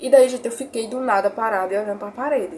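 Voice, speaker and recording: Here a woman speaks at a fairly quick pace. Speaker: YouTuber. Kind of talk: testimony. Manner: emotional.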